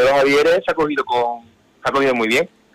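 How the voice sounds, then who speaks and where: This man's speech comes extremely quickly. Clear background noise can be heard behind it. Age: 20s. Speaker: brotherhood official. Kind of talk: interview.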